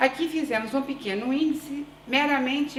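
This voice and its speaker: Audible room echo colors the recording, along with noticeable background noise. The one talking is a woman. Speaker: urban planning researcher and PhD student. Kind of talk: conference presentation. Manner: deliberately slow; hesitant fillers.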